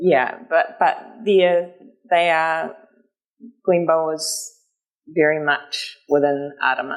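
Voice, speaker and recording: Pausing long and often, a woman with a New Zealand accent speaks very slowly in a very deep, low voice with fairly even intonation. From New Zealand, Marlborough/Kaikōura area. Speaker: novelist. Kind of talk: book festival interview. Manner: halting, many fillers.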